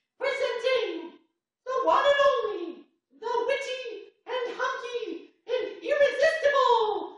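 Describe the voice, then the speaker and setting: Squeaky and extremely high-pitched, a put-on character voice comes at a fairly slow pace with a slight echo. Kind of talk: announcer. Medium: comedy sketch.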